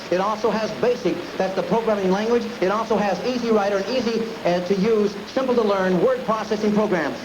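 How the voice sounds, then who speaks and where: Amid noticeable background noise, a man with a high voice speaks fairly quickly, his loudness very even and his pitch variation ordinary. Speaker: auctioneer. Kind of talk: product description for an auction item. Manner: clear, explanatory.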